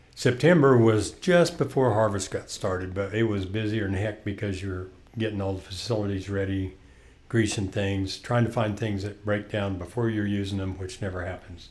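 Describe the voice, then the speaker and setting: Somewhat breathy, a man talks at a moderate pace in a fairly low pitch with ordinary pitch variation. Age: 60s. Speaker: podcast co-host. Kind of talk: casual chat.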